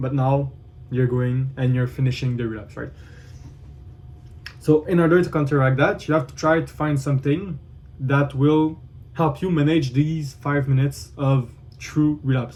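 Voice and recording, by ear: A man's medium pitch and slightly mellow tone, fairly even intonation, a fairly slow pace and long, frequent pauses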